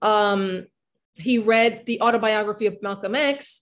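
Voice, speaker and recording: Here a woman speaks with an American accent at a fairly slow pace. Her intonation stays fairly even. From New York City, the Bronx. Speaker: history professor and author; history professor. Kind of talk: academic book discussion. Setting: video call. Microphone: video call.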